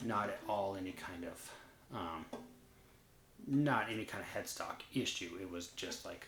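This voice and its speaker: A soft-spoken man at a fairly low pitch, fairly slow, with long, frequent pauses, ordinary pitch variation, and audible room echo. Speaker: guitar reviewer. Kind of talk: casual monologue. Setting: at home at night. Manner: hesitant, filler-heavy.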